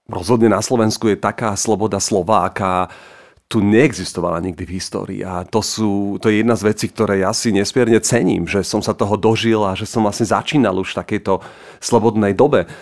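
A man speaks in a normal speaking voice with a fairly low pitch and fairly even intonation. The recording is very clean, with a silent background. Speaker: writer. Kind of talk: casual chat.

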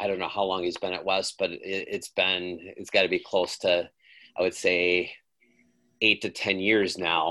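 Against a quiet background, a man talks with an Upper Midwest accent. His pace is moderate. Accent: Upper Midwest American. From Wisconsin, Waukesha. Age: 50s. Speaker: high school baseball coach. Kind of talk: interview.

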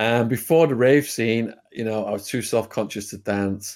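With a British accent and medium pitch, a man talks with ordinary pitch variation on a very clean recording with a silent background. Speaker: ex-prisoner turned YouTuber. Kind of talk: storytelling interview.

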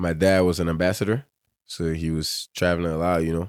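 Very deep and low in pitch, a man speaks at a fairly quick pace. The sound is dry and close with no echo, on a very clean recording with a silent background. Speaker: pro soccer player. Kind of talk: casual interview chat.

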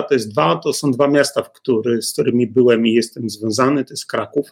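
In a plain, everyday voice, a man speaks at a moderate pace and a medium pitch. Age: 50s. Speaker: lawyer. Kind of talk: interview.

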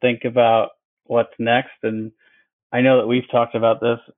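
A man with an American accent at a moderate pace. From Wisconsin. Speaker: dentist and practice owner. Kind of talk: casual interview.

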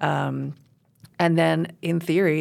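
The voice carries an American accent in a very clean recording with a silent background. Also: woman. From US Northeast, New York City. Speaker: county land-use planner. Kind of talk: interview.

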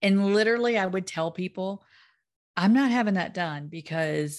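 Against a quiet background, a woman of medium pitch with an unremarkable speaking voice talks at a moderate pace with ordinary pitch variation. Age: 50s. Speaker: podcast host and weight-loss coach. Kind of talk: casual interview chat.

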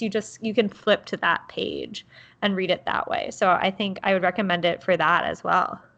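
The tone is bright and sharp. The speech moves at a moderate pace. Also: woman. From Baltimore, Maryland. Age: 20s. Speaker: podcast co-host. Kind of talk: casual chat.

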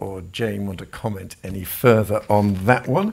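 A man speaks very slowly in a British accent. His pitch is fairly low and his intonation fairly even. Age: 60s. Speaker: event chair. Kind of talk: panel discussion. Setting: live event.

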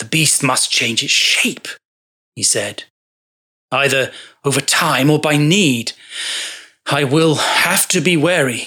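A quiet, raspy put-on character voice at a low-to-middle pitch, fairly slow, with long, frequent pauses. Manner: quiet muttering, then solemn.

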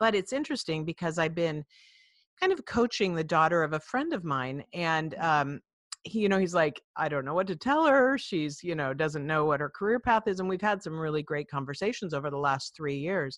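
A woman speaks fairly quickly in a plain, everyday voice with a fairly low pitch. Her intonation is lively, and the sound is dry and close with no echo. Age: 50s. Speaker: podcast host and leadership trainer. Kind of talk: casual interview chat.

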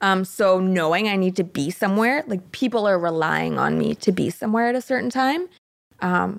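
With a Canadian accent, a woman uses a normal speaking voice at medium pitch with ordinary variation. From Canada. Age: 20s. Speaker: mental health advocate. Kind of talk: interview.

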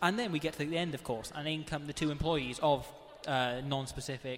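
At a moderate pace, a man with an unremarkable speaking voice talks in a fairly high pitch with fairly even intonation. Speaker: radio host. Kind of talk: casual radio chat. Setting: studio.

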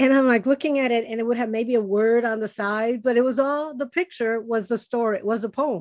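A woman in a Spanish accent, fairly high pitch, fairly quick pace with hardly any pauses, ordinary pitch variation, on a very clean recording with a silent background. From Chicago, US. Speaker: podcast host. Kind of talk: casual interview.

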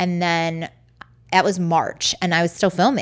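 This woman has an unremarkable speaking voice with an American accent and a fairly low pitch. She talks at a moderate pace with fairly even intonation. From Baltimore, US. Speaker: documentary director and Broadway producer. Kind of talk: interview.

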